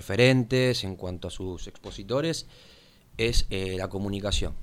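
A man with a Rioplatense accent speaks at a fairly slow pace. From Buenos Aires, Argentina. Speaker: local political activist. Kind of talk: interview. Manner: halting.

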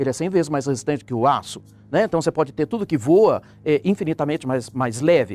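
The sound is dry and close, with no echo, and music plays in the background. The speech moves at a fairly quick pace with lively intonation. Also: man. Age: 60s. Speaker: professor. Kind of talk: panel discussion.

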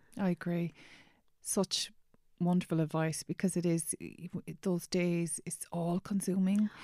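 At a moderate pace, a woman speaks in a fairly low, monotone, flat voice, with a dry, close sound and no echo. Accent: Irish. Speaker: podcast host. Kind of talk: casual interview about grief.

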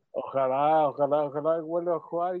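A fairly slow pace with ordinary pitch variation. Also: man. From Chile, Talcahuano. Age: 30s. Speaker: musician. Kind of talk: radio interview. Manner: halting.

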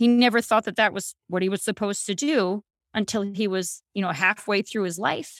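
A woman with a plain, everyday voice, medium pitch and moderate pace, in a very clean, dry, close recording with no echo and a silent background. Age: 40s. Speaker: belly dancer and podcast producer. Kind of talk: casual interview.

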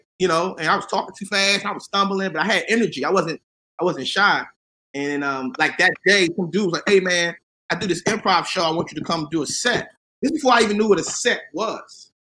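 A man's raised, projected voice, high-pitched and bright and sharp in tone, at a fairly quick pace with ordinary pitch variation. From US, Washington DC. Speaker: comedian and actor. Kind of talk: casual interview.

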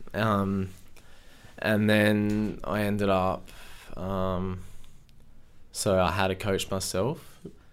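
Through audible room echo, a man speaks very slowly at a fairly low pitch with fairly even intonation and long, frequent pauses. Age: 30s. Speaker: landscaping business owner. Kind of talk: interview. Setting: studio.

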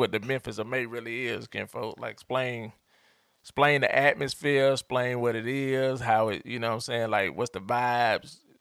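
A man talks at moderate pace and medium pitch with fairly even intonation. The recording is dry and close with no echo. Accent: Atlanta. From Atlanta, Georgia. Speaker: podcast host. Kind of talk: casual chat.

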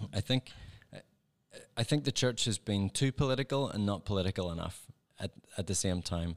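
In a Northern Irish accent, the speaker uses lively intonation and a fairly quick pace broken by long, frequent pauses, on a very clean recording with a silent background and a dry, close sound with no echo. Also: man, fairly low pitch for a man. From Northern Ireland. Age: 40s. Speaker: former pediatrician turned ministry worker. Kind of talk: casual chat. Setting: studio.

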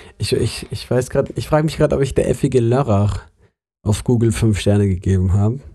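Over a silent background in a very clean recording, a man speaks at a very fast pace and medium pitch. His tone is dark and mellow, somewhat breathy, with ordinary pitch variation. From Germany, Munich. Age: 20s. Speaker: podcast co-host, theology student. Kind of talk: casual chat.

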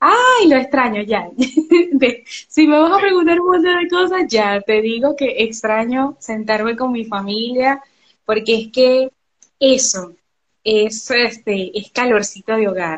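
Speaking at a very slow pace, a woman uses a high pitch with very wide pitch swings. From Venezuela, Barcelona (Anzoátegui, eastern). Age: 30s. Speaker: travel agent. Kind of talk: interview.

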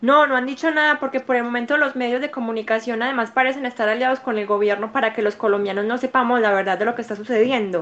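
A woman speaks at a very fast pace in a high pitch. She hardly pauses at all. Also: ordinary pitch variation. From Colombia, Medellín (paisa). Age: 20s. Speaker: law student and church youth leader. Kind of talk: interview conversation.

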